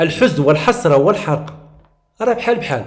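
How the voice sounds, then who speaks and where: A man with a Moroccan accent and very wide pitch swings. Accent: Moroccan Arabic (Darija). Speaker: teacher. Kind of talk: tutorial. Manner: halting.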